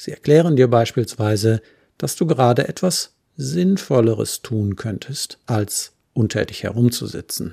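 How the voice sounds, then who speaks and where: A man at medium pitch, somewhat breathy, dark and mellow in tone, calm and soothing, with lively intonation and a fairly slow pace. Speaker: podcast host and therapist. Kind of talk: guided meditation. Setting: solo home studio recording. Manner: calm, slow and soothing.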